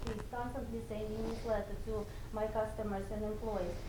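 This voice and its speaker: A woman with a non-native accent at a moderate pace, her intonation fairly even, amid noticeable background noise and audible room echo. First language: not English. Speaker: salon spa owner. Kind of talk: speech to an audience.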